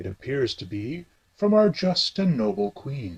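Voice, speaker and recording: A man speaks in a put-on character voice at a medium pitch, with very wide swings up and down. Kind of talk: comic radio DJ sketch.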